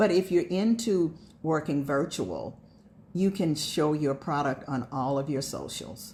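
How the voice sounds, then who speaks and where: A woman's very deep, low voice, dark and mellow, somewhat breathy, with lively intonation at a fairly slow pace. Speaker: direct sales consultant. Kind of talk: sales pitch.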